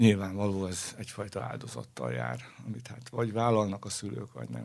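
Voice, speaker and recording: This man's voice sits at a fairly low pitch. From Hungary, Pest county village. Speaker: orchestral cellist. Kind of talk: interview. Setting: studio. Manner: hesitant, repeats words.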